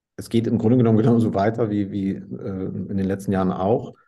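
Its tone is dark and mellow, and its intonation stays fairly even. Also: man. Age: 40s. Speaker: entrepreneur in sales. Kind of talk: interview.

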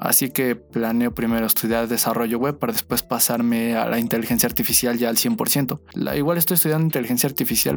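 At a very fast pace and medium pitch, a man speaks over noticeable background noise. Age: 20s. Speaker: podcast host, web developer. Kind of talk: casual monologue.

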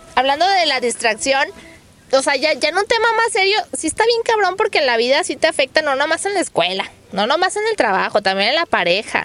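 A woman with a Mexican accent speaks at a high pitch and a fairly quick pace, in an animated tone with very wide pitch swings. Noticeable background noise is present. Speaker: podcast host. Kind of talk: casual chat.

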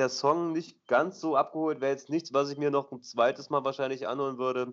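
Fairly high in pitch and fairly even in intonation, a man talks in an ordinary speaking voice. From eastern Germany, Dessau. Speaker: returning podcast co-host. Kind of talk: casual chat. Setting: Skype call from abroad. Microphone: poor Skype call quality.

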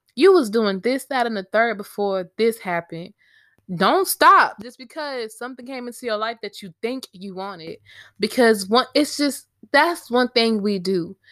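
A woman's fairly high voice with lively intonation and big swings in loudness, on a very clean recording with a silent background. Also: moderate pace. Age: 20s. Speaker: poet and podcaster. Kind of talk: personal storytelling monologue. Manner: casual, conversational.

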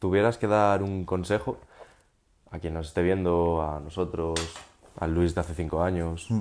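A man with a very deep, low voice speaks at a moderate pace with long, frequent pauses, recorded very cleanly against a silent background. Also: fairly even intonation. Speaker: podcast host. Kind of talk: interview.

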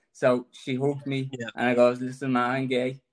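A shaky man speaks at a medium pitch. His intonation is monotone and flat. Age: 30s. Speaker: cancer patient. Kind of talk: testimony.

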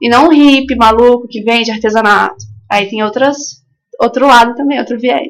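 This woman's voice sits high in pitch. She speaks at a moderate pace with ordinary pitch variation. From coastal São Paulo state, Brazil. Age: 20s. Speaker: artisan and mother. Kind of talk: casual radio interview. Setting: community radio studio.

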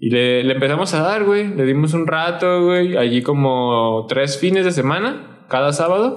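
This man has an ordinary speaking voice, fairly high in pitch, with lively intonation and very even loudness. He talks at a fairly slow pace with hardly any pauses. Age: 20s. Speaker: skateboarder and muralist. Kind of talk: casual chat.

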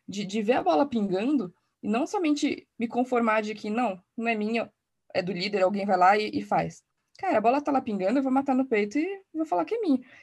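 A woman with a fairly high pitch speaks at a fairly quick pace, her lively intonation carried in a somewhat breathy voice. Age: 30s. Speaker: design and innovation executive. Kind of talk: podcast panel discussion.

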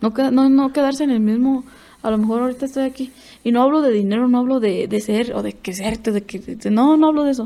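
A woman speaks at a very fast pace in a high pitch with a dark, mellow tone, on a very clean recording with a silent background. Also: ordinary pitch variation. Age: 20s. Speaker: bull rider. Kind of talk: casual interview.

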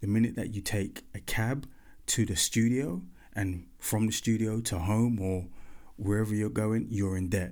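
With fairly even intonation, a man speaks at a fairly low pitch in a normal speaking voice. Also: moderate pace. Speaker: podcast host and former pop band member. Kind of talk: angry rant, confessional monologue about the music industry, sweary and off the cuff. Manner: candid, bitter, then turning reflective and advisory.

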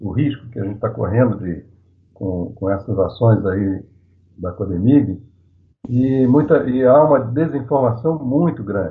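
A man talks in a normal speaking voice at medium pitch and a fairly slow pace. His intonation is lively. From Rio de Janeiro, Brazil. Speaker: activist, IT professional. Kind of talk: panel discussion.

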